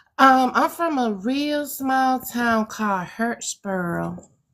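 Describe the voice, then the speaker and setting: Speaking at a very slow pace, a woman with a Southern US accent uses lively intonation. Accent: Southern US country twang. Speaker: guest answering audience questions.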